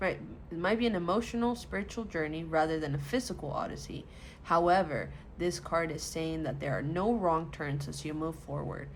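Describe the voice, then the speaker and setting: At a moderate pace, a woman with a very deep, low pitch talks with vocal fry and ordinary pitch variation, with audible room echo. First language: not English. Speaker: tarot reader. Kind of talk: tarot reading, partly reading card text aloud. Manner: halting when reading.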